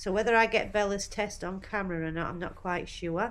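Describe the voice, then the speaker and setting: Audible room echo accompanies a woman speaking at a moderate pace with ordinary pitch variation. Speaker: horse vlogger. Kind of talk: casual vlog talk to camera.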